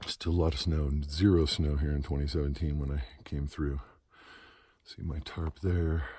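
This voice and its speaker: A man's very deep, low voice has a dark, mellow tone, is somewhat breathy, and keeps fairly even intonation. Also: moderate pace, very clean recording, silent background. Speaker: long-distance hiker vlogger. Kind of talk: casual video diary. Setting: outdoors on mountain trail. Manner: soft-spoken, speaking low.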